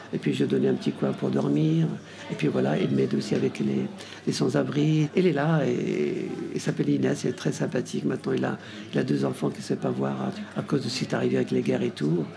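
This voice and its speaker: Noticeable background noise runs under this clip. A man speaks at a fairly quick pace. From Morocco, Tangier. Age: 60s. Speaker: hotel owner. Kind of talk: radio interview. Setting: café with radio setup.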